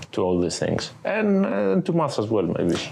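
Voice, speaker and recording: A man's pitch swings very widely as he speaks at a moderate pace, with audible room echo and noticeable background noise around him. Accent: non-native. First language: not English. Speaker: podcast co-host. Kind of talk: casual chat. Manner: halting, many fillers and restarts.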